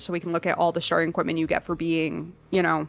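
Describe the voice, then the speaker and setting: Her tone bright and sharp, a woman with a fairly low pitch talks at a very fast pace. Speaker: co-host of a live tabletop game stream. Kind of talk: casual chat.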